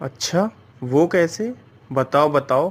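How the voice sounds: This man puts on a character voice with a slightly husky edge and a fairly high pitch. He talks at a slow pace with lively intonation.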